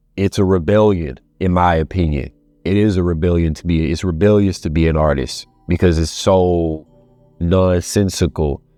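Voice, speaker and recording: With music in the background, a man speaks at a moderate pace in a very deep, low voice with fairly even intonation. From Louisiana, Baton Rouge. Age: 20s. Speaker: actor. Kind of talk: reflective interview monologue. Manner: halting, many restarts.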